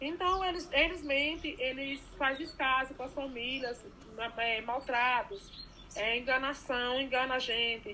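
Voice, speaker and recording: Over noticeable background noise, a raised, projected voice talks at a fairly slow pace with ordinary pitch variation. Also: woman, high pitch for a woman. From Bahia, Brazil (Irecê region). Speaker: recycler and housing activist. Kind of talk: interview.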